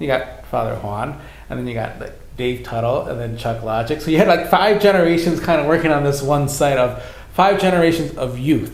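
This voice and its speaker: Fairly high-pitched man, fairly quick and lively in intonation, amid audible room echo and noticeable background noise. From US Midwest, Racine, Wisconsin. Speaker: youth minister. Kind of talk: casual chat. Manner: halting, many repetitions.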